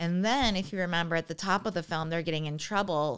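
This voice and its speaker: With an American accent, a woman uses a normal speaking voice, fairly low in pitch and with ordinary pitch variation. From western New York, near Buffalo. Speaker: podcast guest reacting to a film. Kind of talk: casual chat.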